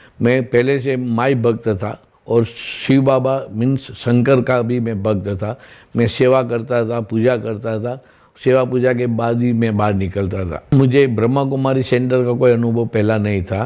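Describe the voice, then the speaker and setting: A man's medium-pitched, a normal speaking voice, with fairly even intonation. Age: 60s. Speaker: retired government officer. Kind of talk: testimony.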